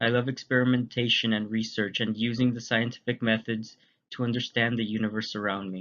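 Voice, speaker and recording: Monotone, flat male delivery at a fairly quick pace. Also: medium pitch for a man. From Texas, Laredo. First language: Spanish. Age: 20s. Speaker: university student. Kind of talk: class presentation narration.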